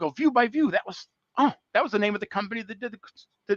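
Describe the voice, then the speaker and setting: Very fast male speech with an American accent, the sound dry and close without echo. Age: 60s. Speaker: construction technology business development manager. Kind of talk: casual interview on a live call. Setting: online call. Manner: halting, many fillers and restarts.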